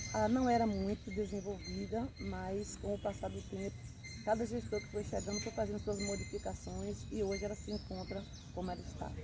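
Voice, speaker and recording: Noticeable background noise and audible room echo fill the clip. Through them, a woman talks at a moderate pace. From Bahia, Brazil. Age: 60s. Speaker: interviewee. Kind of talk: interview.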